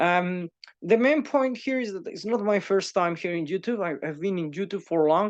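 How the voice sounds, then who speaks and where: A man, speaking at a moderate pace, shows ordinary pitch variation over a quiet background. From Spain. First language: Spanish. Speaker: YouTuber and teacher. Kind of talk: casual monologue. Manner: halting, many fillers and repeats.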